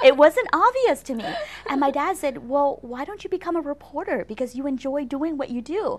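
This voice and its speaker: Speaking with an American accent, a woman uses a high pitch and lively intonation. Her pace is fairly quick, and background noise is noticeable. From San Diego, California (Vietnamese refugee family). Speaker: former TV news anchor. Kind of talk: interview.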